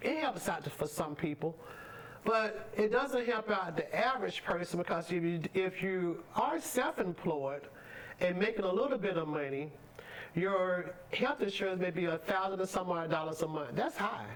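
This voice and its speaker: A woman at a medium pitch and moderate pace, with lively intonation, very even loudness and noticeable background noise. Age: 60s. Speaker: pastor and trucking business owner. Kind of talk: talk show interview.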